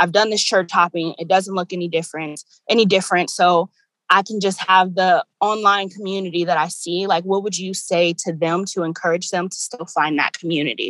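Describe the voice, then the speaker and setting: An unremarkable speaking voice from a medium-pitched woman, fairly quick, with fairly even intonation. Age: 20s. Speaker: student podcast co-host. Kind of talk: casual chat.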